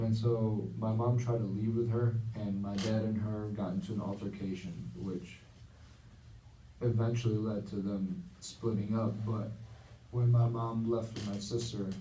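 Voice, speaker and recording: With audible room echo, a man speaks at a fairly slow pace in a dark, mellow, somewhat breathy tone, his pitch fairly low and his intonation fairly even. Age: 20s. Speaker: counseling client in a practice session. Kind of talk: role-played counseling session. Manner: halting, many fillers.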